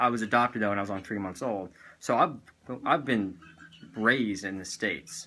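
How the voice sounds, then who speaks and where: A man in a Southern US accent talks at a fairly quick pace with a bright, sharp tone. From US South, Tennessee. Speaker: vlogger. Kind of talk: casual chat.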